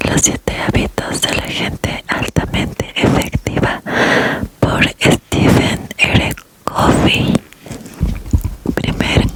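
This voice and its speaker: Someone whispers at a very slow pace with long, frequent pauses. Background noise is noticeable. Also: woman. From Latin America. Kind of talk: ASMR audiobook reading. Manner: whispered, soft-spoken.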